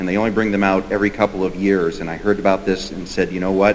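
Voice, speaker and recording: A man's fairly low, monotone voice with flat intonation at a fairly quick pace, amid noticeable background noise. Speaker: county board member and candidate. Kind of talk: candidate forum speech.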